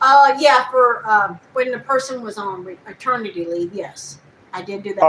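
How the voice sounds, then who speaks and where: Over noticeable background noise, a woman speaks at a fairly high pitch with ordinary pitch variation and big swings in loudness. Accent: Texan. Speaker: voice actor, interviewee.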